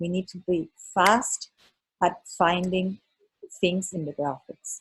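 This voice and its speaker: A woman speaks in a somewhat breathy voice at a fairly low pitch, with a non-native accent. The sound is dry and close, with no echo. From Germany. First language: not English. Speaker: architect, exam mentor. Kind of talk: presentation to online study group.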